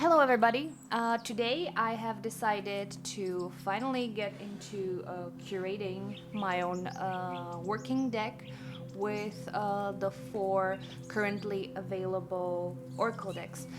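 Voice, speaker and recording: Soft-spoken, the voice moves at a fairly slow pace with lively intonation. Music plays in the background. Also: woman, medium pitch for a woman. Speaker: oracle deck creator and witch. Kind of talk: casual talk to camera. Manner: slow, casual.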